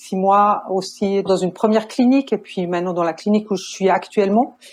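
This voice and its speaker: Against a quiet background, a woman with a Swiss accent talks at a medium pitch with fairly even intonation. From Switzerland. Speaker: nurse and family counselor. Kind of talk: podcast interview.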